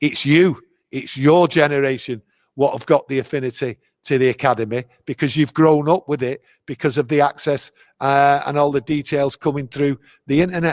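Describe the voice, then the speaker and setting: Fairly high in pitch, a man with a Mancunian accent speaks with fairly even intonation. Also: moderate pace, dry, close sound with no echo. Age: 60s. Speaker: football fan guest. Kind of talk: casual interview chat.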